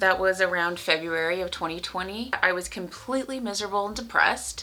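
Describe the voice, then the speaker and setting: Speaking at a very fast pace, a woman's volume swings widely. Noticeable background noise is present. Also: medium pitch for a woman, fairly even intonation. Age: 30s. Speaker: lifestyle vlogger. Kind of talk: personal vlog. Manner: casual, conversational.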